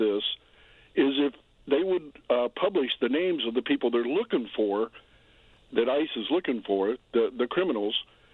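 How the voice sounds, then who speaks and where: A man speaks in a normal speaking voice. His intonation is lively. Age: 60s. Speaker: caller. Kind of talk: call-in comment. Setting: phone call.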